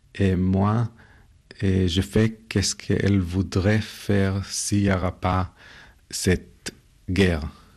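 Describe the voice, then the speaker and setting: Over a quiet background, a man with a Hebrew accent speaks very slowly at a very deep, low pitch, with flat, monotone intonation and long, frequent pauses. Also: very even loudness. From Israel, ultra-orthodox family. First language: Hebrew (speaking French). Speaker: art photographer. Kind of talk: interview. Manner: hesitant, with fillers.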